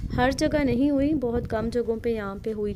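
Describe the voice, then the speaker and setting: Noticeable background noise fills the recording. A woman talks through it at a moderate pace. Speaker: travel vlogger. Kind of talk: travel vlog narration. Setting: outdoors on a chairlift.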